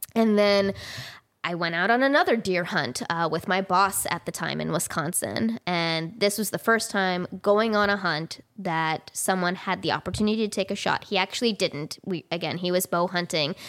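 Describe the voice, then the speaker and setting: A woman with an American accent speaks at a medium pitch and moderate pace in an ordinary speaking voice, with ordinary pitch variation. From California. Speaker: wildlife biologist. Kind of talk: casual interview. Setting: at home.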